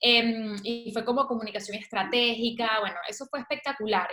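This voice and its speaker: A woman speaks with a Venezuelan accent at a fairly high pitch. Her pace is moderate. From Venezuela, Valencia. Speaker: author and communicator. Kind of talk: interview.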